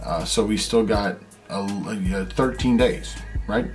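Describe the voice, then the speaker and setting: Faint music plays softly in the background. Over it, a man talks. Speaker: family vlogger. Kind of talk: casual vlog chat. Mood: excited, telling news. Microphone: phone near.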